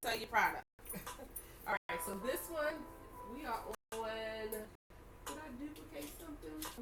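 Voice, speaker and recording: A woman speaks with a Baltimore accent at a moderate pace. The sound is dry and close, with no echo. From Baltimore, US. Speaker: online reseller. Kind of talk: live selling stream. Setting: livestream. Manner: casual, chatty.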